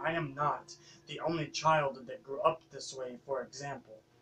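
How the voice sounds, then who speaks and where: The speaker holds a moderate pace with fairly even intonation. Music plays in the background. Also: man. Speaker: spoken word poet. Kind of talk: spoken word poetry performance.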